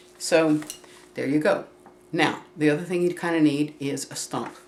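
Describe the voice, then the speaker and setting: A woman speaks over noticeable background noise. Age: 60s. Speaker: craft tutorial vlogger. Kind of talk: tutorial. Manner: casual, meandering with fillers.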